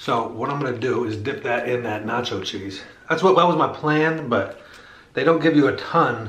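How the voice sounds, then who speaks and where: Audible room echo follows a man speaking with ordinary pitch variation. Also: moderate pace. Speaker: food reviewer. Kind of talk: casual food review chat. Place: home room.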